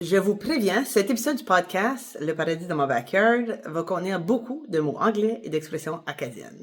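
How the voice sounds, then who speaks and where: A woman's pitch swings very widely as she talks at a moderate tempo amid noticeable background noise. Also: medium pitch for a woman. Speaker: real estate broker. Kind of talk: podcast interview host. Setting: video call. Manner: casual, mixes English words.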